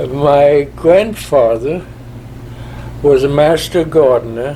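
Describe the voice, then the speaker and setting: Noticeable background noise sits behind a man speaking at a very slow pace in a fairly high voice. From Germany, Berlin. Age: 90s. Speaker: war veteran. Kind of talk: interview.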